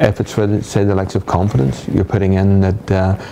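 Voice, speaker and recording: There is noticeable background noise as a man with a Northern Irish accent and a very deep, low pitch speaks at a fairly quick pace. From Northern Ireland. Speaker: hypnotherapist. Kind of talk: interview.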